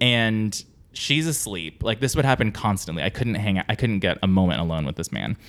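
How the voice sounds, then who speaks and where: With an American accent, a man uses an ordinary speaking voice, fairly low in pitch, with lively intonation and a fairly quick pace. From US West Coast, San Diego. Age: 30s. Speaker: comedic actor and writer. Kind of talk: casual chat. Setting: at home.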